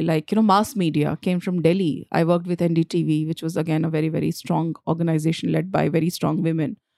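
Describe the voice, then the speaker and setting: This woman has a Bihar accent. Her tone is dark and mellow. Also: dry, close sound with no echo, very clean recording, silent background. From Jharkhand, India. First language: Bhojpuri. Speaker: screenwriter. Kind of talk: casual interview conversation.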